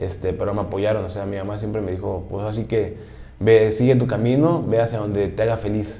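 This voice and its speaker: The speech moves at a fairly quick pace with fairly even intonation. Audible room echo surrounds it. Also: man, fairly low pitch for a man. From Mexico City. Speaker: American football player. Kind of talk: interview.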